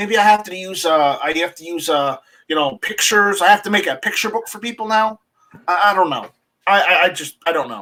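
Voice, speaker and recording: Raising and projecting his voice, a man speaks at a fairly quick pace with a high pitch, a bright, sharp tone, ordinary pitch variation and big swings in loudness. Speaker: website owner, gun rights activist. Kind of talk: casual chat. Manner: halting, many repetitions.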